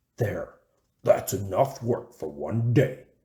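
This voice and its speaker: Putting on a growling character voice, a man speaks at a fairly slow pace and a medium pitch. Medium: read story. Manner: roaring, blustering.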